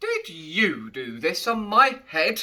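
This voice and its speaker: A put-on character voice growls at a fairly high pitch. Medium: read story.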